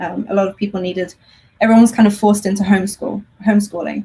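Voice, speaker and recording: In an English accent, a woman speaks at a medium pitch with ordinary pitch variation. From England. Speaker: homeschool teacher. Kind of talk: interview.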